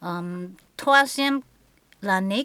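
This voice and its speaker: This is a woman speaking. Her pitch is medium. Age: 60s. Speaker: qigong and Chinese medicine teacher. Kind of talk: conversational interview. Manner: halting.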